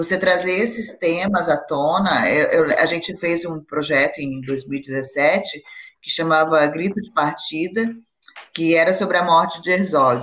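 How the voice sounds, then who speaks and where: A woman speaks in an unremarkable speaking voice at a fairly low pitch. Her pace is fairly slow, with ordinary pitch variation. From Brazil. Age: 50s. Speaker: actress. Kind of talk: casual chat.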